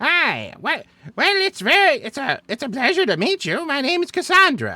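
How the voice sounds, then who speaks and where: A man puts on a character voice pitched extremely high. He talks at a moderate pace. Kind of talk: traditional, polite.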